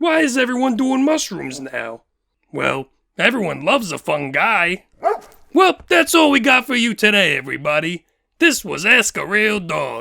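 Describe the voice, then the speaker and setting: A man uses a put-on character voice, high-pitched with very wide swings, at a moderate pace. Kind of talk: comedy question-and-answer sketch.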